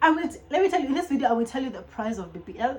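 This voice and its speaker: Over music in the background, a woman speaks at a high pitch with very wide pitch swings. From Kenya, Nairobi (Langata). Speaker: YouTuber. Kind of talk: casual vlog chat. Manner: fast; animated.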